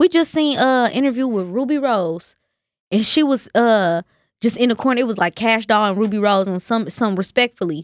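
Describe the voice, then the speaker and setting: A woman with an American accent uses a normal speaking voice, talking at a fairly quick pace with a fairly high pitch and lively intonation, in a very clean recording with a silent background and a dry, close sound with no echo. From Kansas City. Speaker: rapper. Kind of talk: casual chat.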